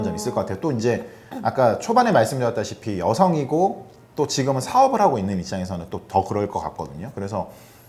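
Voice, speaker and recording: A man speaks at a very fast pace. His medium-pitched voice makes very wide pitch swings. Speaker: interviewer, channel host. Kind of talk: interview questions.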